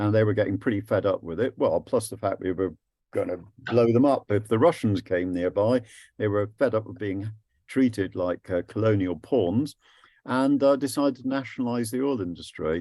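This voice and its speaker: The voice has a dark, mellow tone and an English accent, at a moderate pace. The recording is very clean with a silent background. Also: man. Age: 70s. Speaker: anti-war activist and physicist giving a talk. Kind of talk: presentation to a group. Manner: lively.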